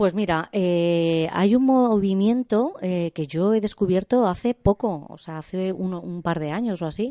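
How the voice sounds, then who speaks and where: Speaking at a fairly slow pace over a quiet background, a woman has a dark, mellow tone. Her medium pitch carries lively intonation. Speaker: art student. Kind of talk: radio interview. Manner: halting.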